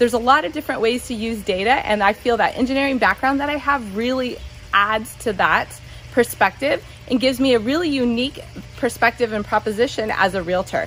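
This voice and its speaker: High in pitch, a woman with a Californian accent talks at a fairly quick pace. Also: ordinary pitch variation. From Southern California. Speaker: realtor. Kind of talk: self-introduction monologue.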